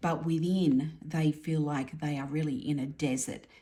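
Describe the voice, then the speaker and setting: Very deep, low pitch from a woman, dark and mellow in tone, at a fairly slow pace. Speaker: tarot reader. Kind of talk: tarot reading monologue.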